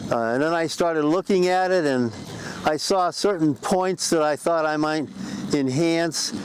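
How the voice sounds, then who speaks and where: A man at a fairly high pitch and fairly slow pace, ordinary pitch variation, noticeable background noise. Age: 80s+. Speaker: sculptor. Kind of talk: interview. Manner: halting.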